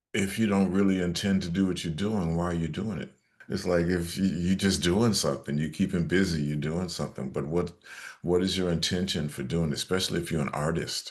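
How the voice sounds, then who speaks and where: Against a quiet background, a man with a very deep, low pitch talks at a fairly quick pace with fairly even intonation. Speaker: actor and jazz vocalist. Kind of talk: interview answer.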